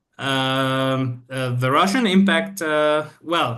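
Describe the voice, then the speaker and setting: A man's bright, sharp voice, fairly high in pitch, with ordinary pitch variation. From Syria. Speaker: PhD candidate, economic advisor. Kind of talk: interview answer.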